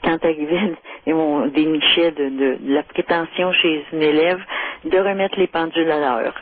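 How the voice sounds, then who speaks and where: There are long, frequent pauses as a woman speaks at a fairly low pitch. Background noise is noticeable. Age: 70s. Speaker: caller. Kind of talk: phone-in radio conversation. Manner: hesitant, many fillers.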